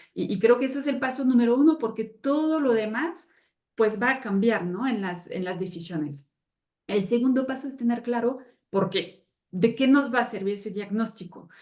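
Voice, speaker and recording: A woman talks at a moderate pace, her fairly high pitch carrying lively intonation. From France. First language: French (speaking Spanish). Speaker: sustainability consultant. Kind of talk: webinar panel talk.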